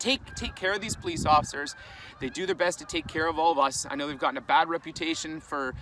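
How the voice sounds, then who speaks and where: A man with a Canadian accent talks at a very fast pace in a fairly high pitch. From Canada. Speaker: vlogger and fitness content creator. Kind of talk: casual vlog talk to camera.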